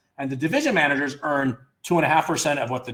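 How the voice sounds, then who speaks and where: A man talks at a very fast pace with a fairly high pitch. His voice is somewhat breathy. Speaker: startup founder presenting to investors. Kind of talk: online presentation walkthrough. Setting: video call.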